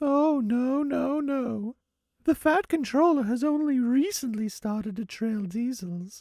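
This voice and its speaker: In a very clean recording with a silent background, a put-on character voice speaks at a fairly high pitch and a fairly slow pace. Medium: audio drama. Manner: cheerful, eager.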